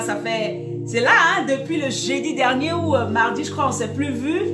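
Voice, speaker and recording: There is clear music behind the voice. The speaker is a woman. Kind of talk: sermon. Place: home room.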